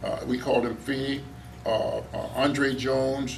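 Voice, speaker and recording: A man with an American accent and monotone, flat intonation, amid audible room echo and noticeable background noise. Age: 80s+. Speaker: talk show guest. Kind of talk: casual chat.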